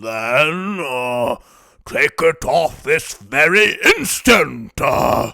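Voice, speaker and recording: Putting on a character voice, a man growls at a very slow pace, his pitch fairly high. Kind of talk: storybook reading. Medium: read story. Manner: imperious, blustering, with hesitant "uh" fillers.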